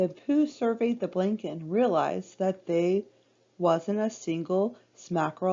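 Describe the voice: This is plain reading aloud, with pitch moving in an ordinary way.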